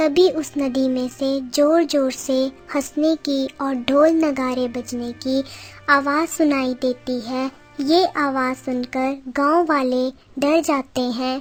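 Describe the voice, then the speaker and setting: A cartoonish character voice, female-sounding and high in pitch, over faint music in the background. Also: fairly slow pace. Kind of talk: children's cartoon storytelling.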